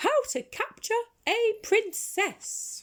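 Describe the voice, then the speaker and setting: In a put-on character voice, a woman squeaks at an extremely high pitch. The sound is squeaky throughout. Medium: read story.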